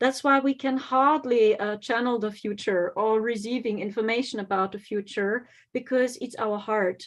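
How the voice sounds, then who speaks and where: A woman with a German accent talks at a moderate pace with hardly any pauses, her pitch fairly high and ordinarily varied, against a quiet background. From Germany. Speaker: psychic medium and spiritual teacher. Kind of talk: conference talk.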